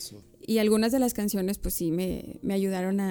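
Recorded very cleanly with a silent background, a woman speaks in a Mexican accent with a dark, mellow tone. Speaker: hip hop artist. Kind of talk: casual chat.

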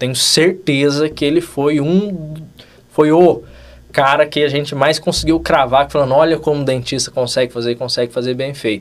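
Using a normal speaking voice, a man with a fairly high pitch talks at a moderate pace with fairly even intonation. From Brazil, São Paulo state (Vale do Paraíba). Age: 20s. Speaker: dentist, facial aesthetics instructor. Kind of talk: casual interview chat.

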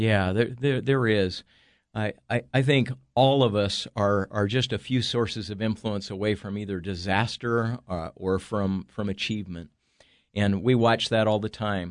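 A man speaks at a fairly slow pace in a fairly low pitch, with a American accent, fairly even intonation and a normal speaking voice, against a quiet background. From Northern California. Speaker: author and entrepreneur. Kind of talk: casual interview. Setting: studio.

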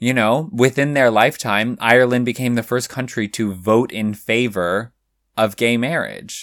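A man with an American accent at medium pitch, animated and playful in tone, at a moderate pace. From California, US. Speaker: podcast host, drag cabaret performer. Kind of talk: casual chat, podcast conversation. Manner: animated, playful.

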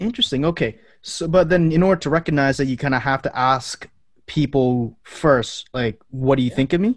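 In an unremarkable speaking voice, a man talks at a fairly quick pace, his pitch fairly high with ordinary variation. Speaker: podcast host. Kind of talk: casual interview. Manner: casual, rambling.

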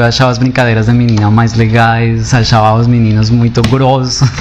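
With a non-native accent and monotone, flat intonation, a man speaks through noticeable background noise and audible room echo. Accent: foreign accent in Portuguese. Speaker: poet and performer. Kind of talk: interview.

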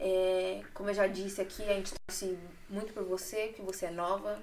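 Using a plain, everyday voice, a woman talks with fairly even intonation at a medium pitch. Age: 20s. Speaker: podcast host. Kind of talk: casual chat.

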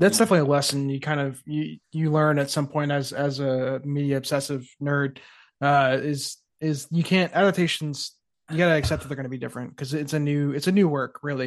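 Over a quiet background, the speaker talks fairly quickly with fairly even intonation in an American accent. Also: man, fairly high pitch for a man. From Texas, suburban metro. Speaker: podcast guest, film fan. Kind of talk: casual chat. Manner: halting.

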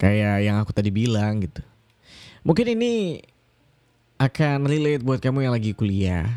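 A man's medium-pitched voice, dark and mellow in tone, with lively intonation and long, frequent pauses. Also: moderate pace. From Indonesia, Kalimantan. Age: 20s. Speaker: podcast host. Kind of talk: casual solo podcast monologue. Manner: hesitant, many fillers.

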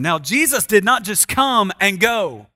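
Projecting his voice, a man speaks very slowly with a bright, sharp tone and lively intonation. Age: 40s. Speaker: pastor. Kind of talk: sermon.

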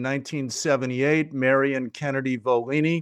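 This man has an unremarkable speaking voice with an American accent, pitched fairly high. He talks at a moderate pace against a quiet background. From Chicago. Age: 60s. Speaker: journalist and senior editor. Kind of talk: podcast interview.

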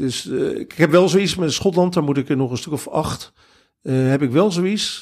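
A man speaks at a fairly slow pace in an ordinary speaking voice. His pitch is fairly high, with ordinary variation. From Netherlands, Rotterdam. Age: 50s. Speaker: football fan, groundhopper. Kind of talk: casual interview. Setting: attic in Veldhoven.

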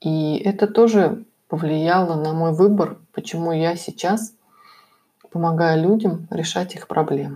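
A woman speaks at a fairly low pitch in a dark, mellow tone with ordinary pitch variation. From former USSR. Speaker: podcaster and healer coach. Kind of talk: self-help monologue with sales pitch.

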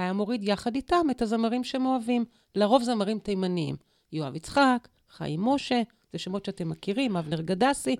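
Her medium-pitched, normal speaking voice carries lively intonation at a moderate pace, as a woman is heard dry and close with no echo on a very clean recording with a silent background. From Israel, kibbutzim in the Negev. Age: 50s. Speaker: public relations consultant and spiritual coach. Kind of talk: interview conversation.

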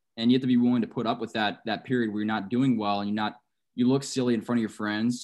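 This man speaks in an American accent at a very fast pace. His pitch is medium and his intonation fairly even. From San Antonio, Texas. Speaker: podcast host. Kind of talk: casual interview chat.

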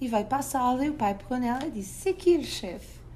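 A woman at a fairly quick pace, in a European Portuguese accent, with audible room echo. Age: 40s. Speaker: parenting educator and author. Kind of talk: interview.

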